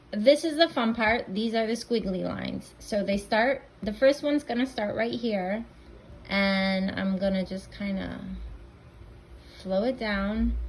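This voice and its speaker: A woman with a medium pitch and a somewhat breathy voice speaks at a fairly slow pace with ordinary pitch variation. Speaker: painting instructor. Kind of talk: tutorial. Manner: casual, conversational.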